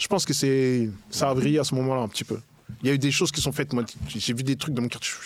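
There is noticeable background noise as a man speaks at a very fast pace with ordinary pitch variation. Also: medium pitch for a man. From Paris region then Le Havre, France. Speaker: rapper. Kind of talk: casual chat.

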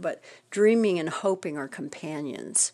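A woman has a normal speaking voice, fairly low in pitch with ordinary pitch variation. She talks at a fairly slow pace over a quiet background. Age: 60s. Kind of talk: devotional encouragement talk. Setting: recording at home. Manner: casual, conversational with fillers.

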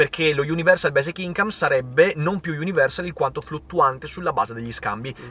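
This man's voice is fairly high, with a bright, sharp tone and ordinary pitch variation. He talks at a very fast pace with hardly any pauses and big swings in loudness. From northern Italy, Veneto (Vicenza province). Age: 30s.

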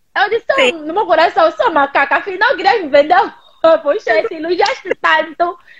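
A woman speaks at a moderate pace with an extremely high pitch. Her tone is animated and her intonation lively. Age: 30s. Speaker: digital influencer. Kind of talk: casual chat.

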